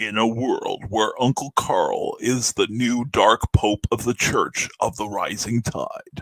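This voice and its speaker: Using a put-on character voice, a raspy man talks at a fairly slow pace with hardly any pauses. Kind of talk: trailer voiceover. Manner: dramatic.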